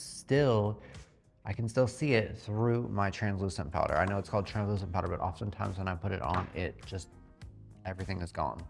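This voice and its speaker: Vocal fry at a fairly quick pace with ordinary pitch variation, in a very clean recording with a silent background. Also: man. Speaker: beauty vlogger. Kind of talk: makeup tutorial. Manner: casual, filler-heavy.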